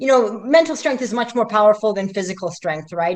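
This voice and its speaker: With ordinary pitch variation around a medium pitch, this woman speaks very fast. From Middle East, raised in Canada. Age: 50s. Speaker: athlete. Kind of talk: interview. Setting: livestream. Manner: animated.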